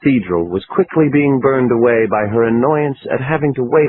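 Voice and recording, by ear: Text is read aloud in a natural voice, its pitch varying in an ordinary way.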